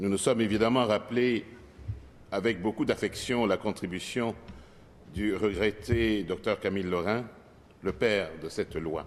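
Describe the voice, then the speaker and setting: Fairly low in pitch, a man talks at a fairly slow pace with ordinary pitch variation. Long, frequent pauses break up his speech. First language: not French (French is his fourth language) (speaking French). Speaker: politician. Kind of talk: parliamentary speech. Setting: legislative assembly chamber. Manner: formal.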